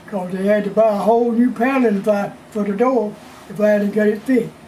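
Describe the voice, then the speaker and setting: There is noticeable background noise behind a man's high voice. His intonation is monotone and flat. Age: 80s+. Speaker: blues musician. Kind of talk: interview answer.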